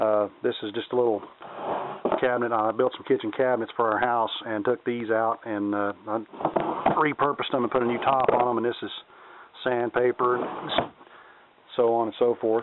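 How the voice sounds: A man talks at a moderate pace with little pitch movement. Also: medium pitch for a man.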